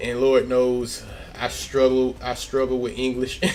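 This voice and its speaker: In an American accent, a man speaks at medium pitch in a relaxed tone. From Memphis, Tennessee, US South. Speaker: comic artist. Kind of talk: casual live-stream chat while drawing. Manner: relaxed, conversational.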